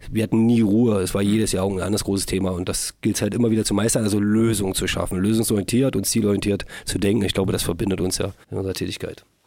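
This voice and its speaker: Speaking at a very fast pace with hardly any pauses, a man uses a fairly low pitch, a dark, mellow tone and monotone, flat intonation. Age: 40s. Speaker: football club managing director. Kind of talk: casual interview.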